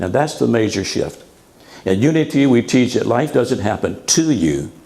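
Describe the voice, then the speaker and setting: Moderate-paced, medium-pitched speech from a man, amid noticeable background noise and audible room echo. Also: lively intonation. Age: 80s+. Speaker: minister. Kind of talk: sermon.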